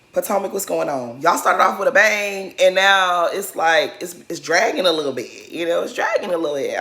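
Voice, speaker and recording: Animated in tone, a woman speaks at a fairly quick pace. Noticeable background noise can be heard. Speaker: reality TV commentary youtuber. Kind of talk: casual recap commentary. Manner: animated, chatty.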